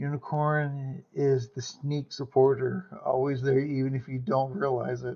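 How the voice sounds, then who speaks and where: Somewhat breathy, a man speaks at medium pitch with fairly even intonation. His pace is fairly slow, with hardly any pauses. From US South. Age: 30s. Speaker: streamer. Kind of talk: casual chat.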